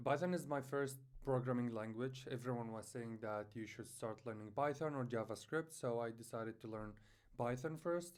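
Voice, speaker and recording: A man at medium pitch with a non-native accent, a moderate pace and ordinary pitch variation. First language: not English. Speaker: beginner programming vlogger. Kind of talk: personal vlog. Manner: halting, many fillers.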